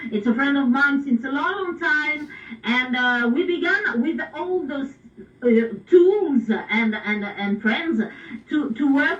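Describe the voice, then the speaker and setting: A woman speaks very slowly in a high voice with a French accent. Her intonation is lively. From France. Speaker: pop singer and radio DJ. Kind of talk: radio interview. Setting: radio broadcast. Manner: halting.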